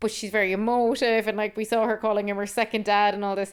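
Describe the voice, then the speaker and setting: Speaking very fast in a Cork accent, a woman uses an animated tone on a very clean recording with a silent background. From Ireland, Cork. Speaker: podcast co-host. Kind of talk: casual chat.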